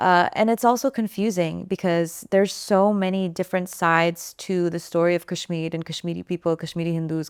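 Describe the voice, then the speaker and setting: In an American accent, a woman with an unremarkable speaking voice talks at a moderate pace and a medium pitch with fairly even intonation, the recording very clean with a silent background and a dry, close sound with no echo. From United States. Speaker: singer-songwriter. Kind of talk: interview. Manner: casual.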